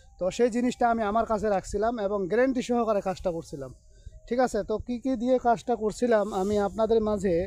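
The speaker is a man with a high pitch. His pitch variation is ordinary. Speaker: spiritual healer / occult practitioner. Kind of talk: vlog-style demonstration. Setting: outdoors at a cremation ground.

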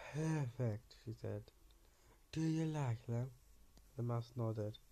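A man with a medium pitch speaks at a fairly slow pace in a dark, mellow, somewhat breathy tone. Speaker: video creator reading bedtime stories. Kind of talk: bedtime story reading aloud, slightly hesitant. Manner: hesitant, filler-heavy, stumbling over words. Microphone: phone near.

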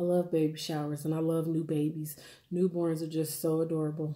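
A woman with a very deep, low pitch, monotone, flat intonation and a moderate pace, over a quiet background. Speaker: food vlogger. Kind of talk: casual vlog chat while eating. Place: kitchen. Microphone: phone near.

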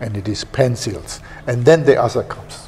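Speaking in a German accent, a man keeps a moderate pace and uses lively intonation. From Germany. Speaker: pen company executive. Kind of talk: interview. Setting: company office and shop. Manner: halting. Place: office. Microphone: lapel.

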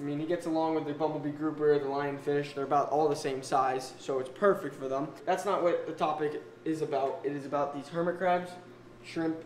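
At a fairly quick pace, a man speaks with fairly even intonation. Audible room echo and light background noise surround him. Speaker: aquarium vlogger. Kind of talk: casual vlog chat. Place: home room. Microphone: phone near.

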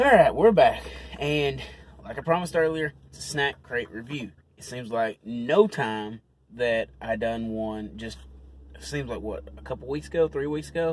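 Somewhat breathy and medium in pitch, a man talks at a moderate pace with big swings in loudness. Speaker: YouTube food reviewer. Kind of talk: casual unboxing review. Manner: halting, many fillers and restarts.

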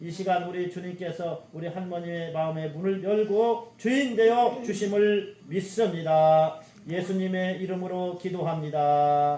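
Over noticeable background noise, a man with a high-pitched voice speaks at a fairly slow pace with ordinary pitch variation and hardly any pauses. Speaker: pastor. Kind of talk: prayer.

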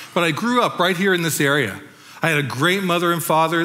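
A man with a Californian accent speaks at a fairly quick pace, his tone bright and sharp and his pitch varying in an ordinary way. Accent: Californian American. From Southern California, La Habra. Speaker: pastor. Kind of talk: testimony.

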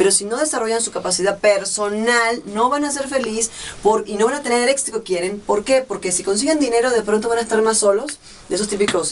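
A woman's animated, medium-pitched voice at a very fast pace, with light background noise. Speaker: telenovela actress. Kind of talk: casual interview. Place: studio.

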